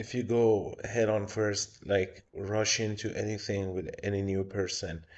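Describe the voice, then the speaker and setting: Somewhat breathy, fairly slow speech with a non-native accent and monotone, flat intonation. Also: man. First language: not English. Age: 30s. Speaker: tarot reader streamer. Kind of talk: live stream tarot reading. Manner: casual.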